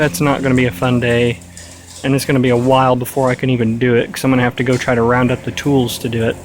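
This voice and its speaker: A man talks at a very fast pace with a medium pitch. Noticeable background noise runs under his voice. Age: 20s. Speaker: tractor restoration vlogger. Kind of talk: casual vlog narration.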